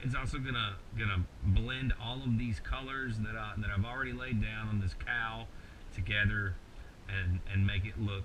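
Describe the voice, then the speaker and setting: In a Kentucky accent, a man talks at a moderate pace with a fairly low pitch and ordinary pitch variation, with audible room echo. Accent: rural Kentucky Southern US. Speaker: mask maker, tutorial host. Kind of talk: tutorial. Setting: home workshop late at night. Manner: casual, halting with many repeated words.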